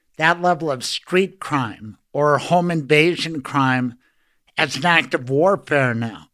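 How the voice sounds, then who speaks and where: Pitched fairly high with ordinary pitch variation, a man's voice carries an American accent. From US West (Colorado). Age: 60s. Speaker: radio host and trial lawyer. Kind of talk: casual interview. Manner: animated.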